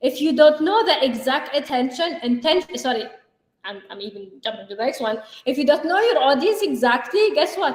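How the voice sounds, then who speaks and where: A woman with an Arabic accent, high-pitched and very fast, with lively intonation. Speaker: life and business coach, co-host. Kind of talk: live show chat. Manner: animated.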